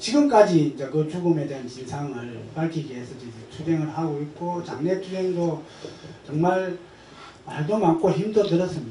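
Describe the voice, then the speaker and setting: A man speaks at a moderate pace and fairly high pitch with ordinary pitch variation, his loudness swinging widely. Background noise is noticeable and room echo is audible. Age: 60s. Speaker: union branch leader. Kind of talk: panel talk.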